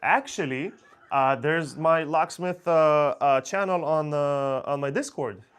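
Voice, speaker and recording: Speech comes at a fairly slow pace in an Israeli accent, with ordinary pitch variation. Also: man, fairly high pitch for a man. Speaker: locksmith. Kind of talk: live stream Q&A. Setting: live stream. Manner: casual, hesitant with fillers.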